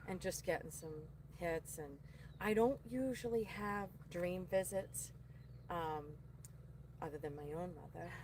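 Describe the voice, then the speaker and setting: With a strong Boston accent, a woman speaks at a fairly slow pace and fairly low pitch, somewhat breathy, with ordinary pitch variation and long, frequent pauses. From Boston area, Massachusetts. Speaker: psychic medium. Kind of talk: casual chat.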